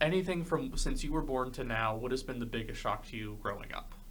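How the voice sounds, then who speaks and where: A man with a fairly high pitch speaks with lively intonation in a space with audible room echo. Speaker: podcast host. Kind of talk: casual chat.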